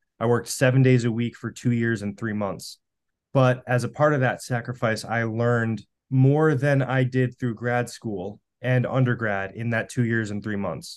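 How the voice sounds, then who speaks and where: An ordinary speaking voice at a moderate pace, with fairly even intonation and a quiet background. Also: man, medium pitch for a man. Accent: American. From US Northeast, Western Massachusetts. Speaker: cancer researcher. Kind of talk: casual interview.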